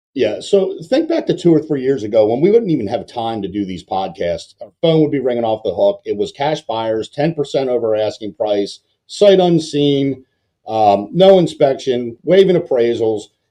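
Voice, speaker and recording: Speaking at a moderate pace in an American accent, a man has a fairly high pitch, a dark, mellow tone, and very wide pitch swings. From Baltimore, Mid-Atlantic US. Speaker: mortgage lender, podcast host. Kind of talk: casual podcast chat.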